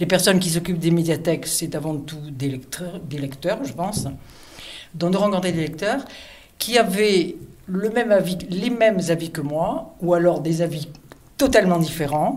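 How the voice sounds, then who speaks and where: Amid noticeable background noise and audible room echo, a woman speaks at a fairly low pitch with ordinary pitch variation. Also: moderate pace. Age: 70s. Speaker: reader on a book prize selection committee. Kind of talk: interview testimony. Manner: hesitant, with fillers and self-corrections.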